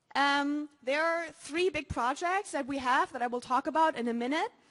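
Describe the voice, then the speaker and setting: Ordinary pitch variation from a woman at a fairly slow pace. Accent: German. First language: German. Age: young. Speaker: student. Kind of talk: conference talk. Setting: stage with audience. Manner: halting.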